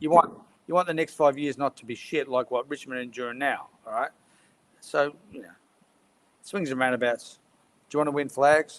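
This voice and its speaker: In an Australian accent, a man with a fairly high pitch speaks at a fairly quick pace, using fairly even intonation, big swings in loudness and long, frequent pauses, all in a dry, close sound with no echo. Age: 60s. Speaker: football panellist. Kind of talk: casual chat.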